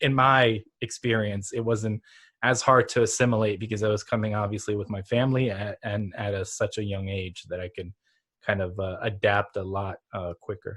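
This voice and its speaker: In an unremarkable speaking voice, a man talks at a moderate pace and fairly low pitch with fairly even intonation, the sound dry and close with no echo. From Ukraine (Lviv), raised in US from early childhood. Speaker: digital marketing entrepreneur, podcast host. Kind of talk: podcast interview.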